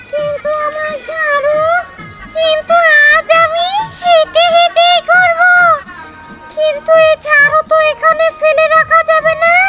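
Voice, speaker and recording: In a put-on character voice, extremely high-pitched and squeaky, someone speaks very slowly over clear background music. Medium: short film. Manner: muttering to herself.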